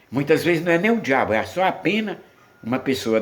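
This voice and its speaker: The voice carries vocal fry and very wide pitch swings. Room echo is audible. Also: man. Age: 70s. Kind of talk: sermon.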